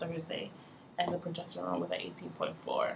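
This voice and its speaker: Soft-spoken, a woman talks against noticeable background noise. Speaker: vlogger sharing fertility journey. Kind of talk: casual video diary. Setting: at work. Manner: soft-spoken, talking low.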